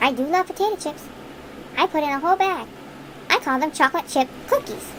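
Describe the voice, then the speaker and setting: A woman's put-on character voice, squeaky and extremely high, at a very fast pace over clear background noise. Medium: read story. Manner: earnest, cheerful.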